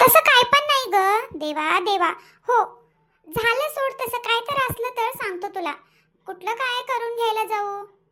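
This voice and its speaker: In a put-on character voice, a woman talks fairly slowly at an extremely high pitch with lively intonation. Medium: comedy sketch. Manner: casual, self-satisfied.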